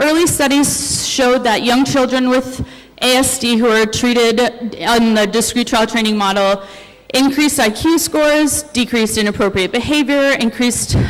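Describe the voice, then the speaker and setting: Over noticeable background noise, a woman talks at a fairly quick pace in a fairly high voice. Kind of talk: conference presentation. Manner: fast.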